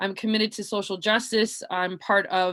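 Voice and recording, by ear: Speaking at a fairly slow pace, a woman has a medium pitch and a bright, sharp tone.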